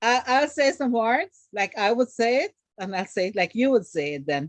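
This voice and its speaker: A woman with a Guyanese accent speaks at a fairly high pitch with very wide pitch swings. The sound is dry and close, with no echo. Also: moderate pace. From Guyana. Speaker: comedic actress. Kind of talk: casual interview.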